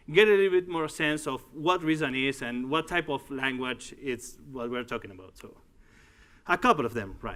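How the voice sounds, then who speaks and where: Lively intonation carries a man's fairly high voice along at a moderate pace. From Uruguay. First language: Spanish. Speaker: tech executive and conference speaker. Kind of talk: conference talk. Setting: stage with audience. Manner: halting.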